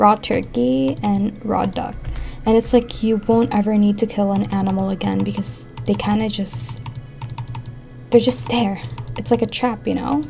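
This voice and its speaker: A woman speaks at a moderate pace in a medium pitch, with very wide pitch swings. Noticeable background noise runs underneath. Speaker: gaming youtuber. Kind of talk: casual gameplay commentary.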